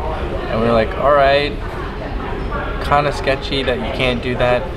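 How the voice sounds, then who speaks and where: Loud background noise accompanies a man as he talks. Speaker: travel vlogger. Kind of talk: casual vlog chat. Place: hall. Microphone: phone near.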